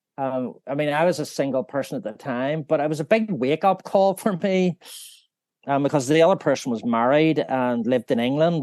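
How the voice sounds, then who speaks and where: With a Northern Irish accent, a man speaks at a fairly quick pace and fairly high pitch with ordinary pitch variation, in a dry, close sound with no echo against a quiet background. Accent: Northern Irish (Belfast). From Northern Ireland, Belfast. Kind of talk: interview, personal faith testimony. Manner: halting, many fillers.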